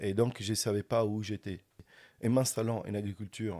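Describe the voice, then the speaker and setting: A man speaks at a fairly low pitch in a dark, mellow tone. The recording is very clean with a silent background. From Sicily. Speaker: organic winegrower. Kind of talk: interview answer. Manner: precise narration.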